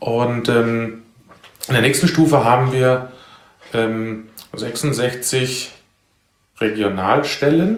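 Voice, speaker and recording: A man speaks at a very slow pace with long, frequent pauses, and room echo is audible. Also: medium pitch for a man, ordinary pitch variation. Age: 40s. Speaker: civil protection volunteer leader. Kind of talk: casual interview. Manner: halting, many filler sounds.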